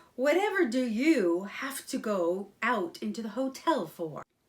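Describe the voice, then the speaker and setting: A female-sounding put-on character voice, fairly high in pitch, at a fairly slow pace. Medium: read story. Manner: pompous.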